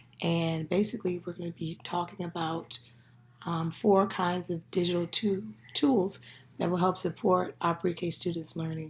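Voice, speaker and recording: The woman's voice is fairly low and somewhat breathy. Her pitch varies in an ordinary way. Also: moderate pace. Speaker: education student. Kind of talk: class presentation. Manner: halting, many fillers.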